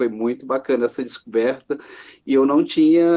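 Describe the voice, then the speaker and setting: A man speaks at a moderate pace in a fairly high voice, with a quiet background. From Brazil, Minas Gerais, Zona da Mata. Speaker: writer and journalism professor. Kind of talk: interview about his life and work. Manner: hesitant, many fillers.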